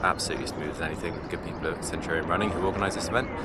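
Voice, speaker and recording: Very fast speech from a man with an English accent, noticeable background noise and audible room echo. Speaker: amateur ultrarunner vlogger. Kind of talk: casual vlog. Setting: outdoors. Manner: mumbling.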